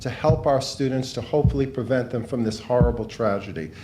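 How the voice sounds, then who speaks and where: A man's dark, mellow, somewhat breathy voice with a New York accent and ordinary pitch variation, with audible room echo. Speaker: law professor, director of a public service center. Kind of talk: speech at a book launch event.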